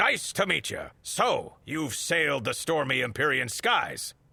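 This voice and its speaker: A man performs a put-on character voice. He pitches it fairly high. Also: fairly slow pace. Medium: video game.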